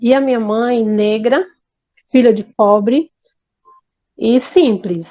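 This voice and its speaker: A woman speaks at a very slow pace, her fairly high pitch moving with ordinary variation. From Brazil, Bahia. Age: 50s. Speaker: interviewee telling life story. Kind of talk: life story testimony. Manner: halting, with repetitions and restarts.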